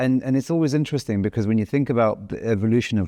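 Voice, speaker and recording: Against a quiet background, a man with a London accent talks at a very fast pace in a medium pitch with ordinary pitch variation, a dark, mellow tone and a dry, close sound with no echo. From East London, England. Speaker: podcast host. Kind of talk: podcast interview. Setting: on-location filming in East London.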